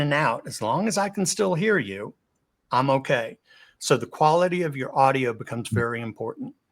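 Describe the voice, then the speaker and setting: Swinging very widely in pitch, a man talks at a fairly quick pace. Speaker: communication and video presence trainer. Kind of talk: webinar presentation. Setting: live webinar over video call. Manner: varied pace and volume.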